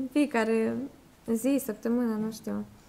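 A woman with a Russian accent at a very slow pace. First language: Russian (speaking Romanian). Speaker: foreign guest speaker; guest. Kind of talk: presentation to schoolchildren; informal talk to a congregation. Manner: halting. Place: church. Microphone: podium.

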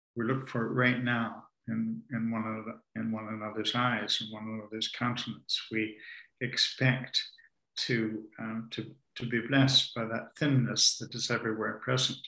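Against a quiet background with audible room echo, a man talks at a moderate pace in a medium-pitched voice with a bright, sharp tone and monotone, flat intonation. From Canada, Ontario. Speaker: author and spiritual teacher; spiritual teacher. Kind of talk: conversational talk on spirituality. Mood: calm, reflective, warm. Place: home room.

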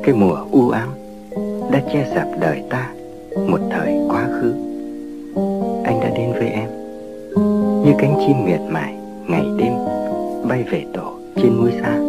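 Loud music plays behind a man who speaks very slowly with a Hanoi accent. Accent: old Hanoi Vietnamese. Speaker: radio host. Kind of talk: lyrical radio narration. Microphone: old recording.

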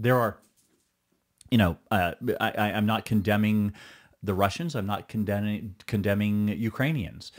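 Long, frequent pauses break up a man's speech at a moderate pace. His fairly low pitch varies in an ordinary way over a quiet background. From Quebec, Canada. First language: Mohawk. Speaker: stuntman and actor. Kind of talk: podcast interview answer. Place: studio. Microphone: studio mic.

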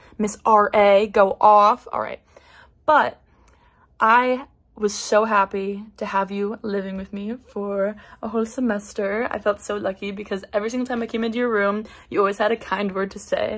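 With monotone, flat intonation, a woman talks at a moderate speed. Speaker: college student. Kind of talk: recorded tribute message. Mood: warm, affectionate, playful. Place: home room. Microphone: phone near.

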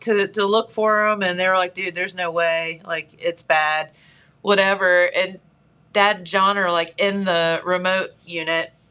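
Her tone bright and sharp, a woman speaks at a fairly slow pace. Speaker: show host. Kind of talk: casual talk show chat, storytelling. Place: studio.

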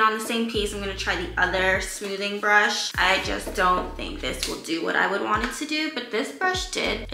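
A woman at a fairly high pitch and moderate pace, with very wide pitch swings, hardly any pauses, light background noise and audible room echo. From New York. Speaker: beauty YouTuber. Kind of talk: casual talk to camera. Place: home room. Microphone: camera far.

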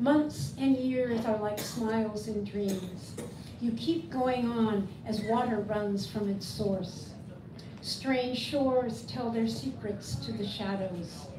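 Noticeable background noise sits behind a woman with an American accent. She speaks at a very slow pace with lively intonation. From US. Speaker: poet and translator; poet. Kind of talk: poetry reading; book event discussion. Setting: bookstore event with audience. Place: shop. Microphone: camera far.

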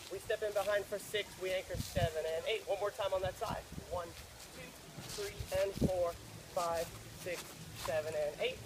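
Loud background noise runs under the speech. The pace is moderate, with long, frequent pauses. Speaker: dance instructor. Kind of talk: tutorial. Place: beach.

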